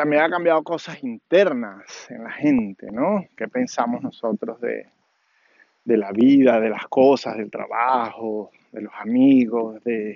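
A man speaks at a medium pitch and fairly slow pace, with vocal fry and ordinary pitch variation.

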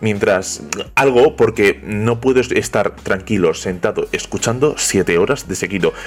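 A man's medium-pitched voice, with ordinary pitch movement, is heard against noticeable background noise. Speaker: podcast host. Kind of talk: podcast intro monologue. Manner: talkative, nonstop.

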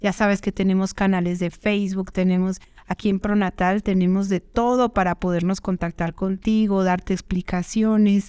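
With hardly any pauses, a woman speaks in a dark, mellow tone and monotone, flat intonation, captured in a very clean recording with a silent background. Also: medium pitch for a woman, moderate pace. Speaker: fertility doctor. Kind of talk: educational monologue. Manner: conversational.

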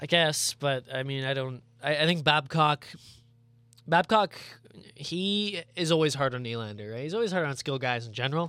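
A man's fairly high voice at a moderate pace, with lively intonation and music in the background. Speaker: radio co-host. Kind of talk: casual sports chat. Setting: radio studio. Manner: conversational, laid-back, joking.

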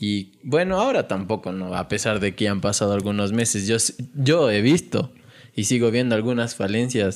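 A normal speaking voice at a moderate pace. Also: man. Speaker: podcast host. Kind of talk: casual chat.

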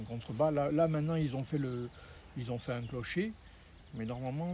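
His voice is somewhat breathy and medium in pitch. The man's tone sounds dark and mellow. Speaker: local host guiding hikers. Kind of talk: casual chat. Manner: hesitant.

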